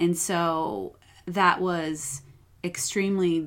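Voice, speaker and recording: A woman with an American accent, an unremarkable speaking voice and fairly even intonation. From upstate New York. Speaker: psychotherapist. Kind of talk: podcast interview.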